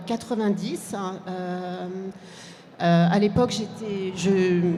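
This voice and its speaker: A woman in a French accent, medium in pitch, at a fairly slow pace amid noticeable background noise. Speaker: publisher. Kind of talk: panel discussion. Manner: halting.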